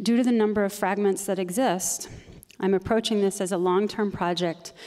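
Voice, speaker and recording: Her pitch is medium and her intonation fairly even as a woman speaks. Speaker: choreographer. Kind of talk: artist presentation. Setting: retreat presentation to audience. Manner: fast.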